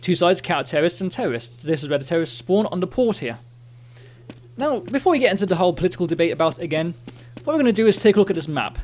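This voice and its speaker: Pitch leaps up and down over a very wide range at a very fast pace. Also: man, high pitch for a man. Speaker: gaming video commentator. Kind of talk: gameplay commentary.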